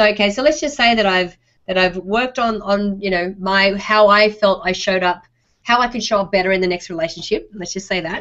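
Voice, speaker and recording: With an Australian accent, a woman speaks at a medium pitch and a moderate pace. Her pitch variation is ordinary. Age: middle-aged. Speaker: online show host. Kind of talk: interview.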